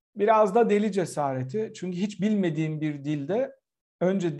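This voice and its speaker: A man's dark, mellow tone with lively intonation at a moderate pace, set against a quiet background. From Turkey. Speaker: political scientist and professor; guest. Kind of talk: casual chat. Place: home room. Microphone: video call.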